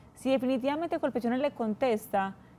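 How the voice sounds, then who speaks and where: This woman has an ordinary speaking voice with ordinary pitch variation. She speaks at a moderate pace. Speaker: pension and labor lawyer. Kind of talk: TV call-in advice.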